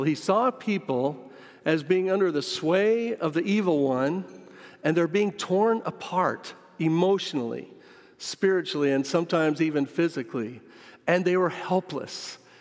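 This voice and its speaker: A man's high voice with lively intonation and very even loudness. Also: moderate pace. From US Midwest, western Kansas. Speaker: missionary pastor. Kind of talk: sermon. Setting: church sanctuary.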